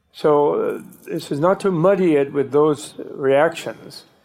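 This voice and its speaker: In an unremarkable speaking voice, a man speaks with a fairly high pitch and ordinary pitch variation. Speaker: Buddhist teacher. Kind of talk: dharma talk. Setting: stage with audience.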